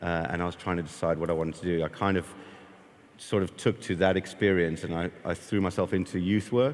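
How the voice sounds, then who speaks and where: Here a man speaks with a very deep, low pitch. He moves at a fairly quick pace with ordinary pitch variation. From South Africa. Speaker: skate park founder and youth worker. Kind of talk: interview.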